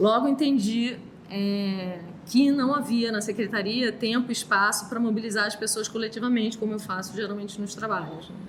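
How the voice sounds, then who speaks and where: A woman's fairly high voice at a moderate pace with fairly even intonation, amid noticeable background noise and audible room echo. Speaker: artist. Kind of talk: talk reading from text. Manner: soft-spoken.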